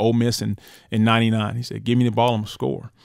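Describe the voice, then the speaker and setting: A man with a Southern US accent at a fairly quick pace and medium pitch, on a very clean recording with a silent background. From northern Florida. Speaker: former college quarterback and football coach. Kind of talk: casual interview chat. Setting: recording studio.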